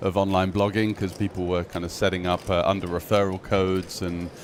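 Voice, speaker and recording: Noticeable background noise sits under a man speaking at a fairly quick pace in a fairly low pitch. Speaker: poker commentator. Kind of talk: interview.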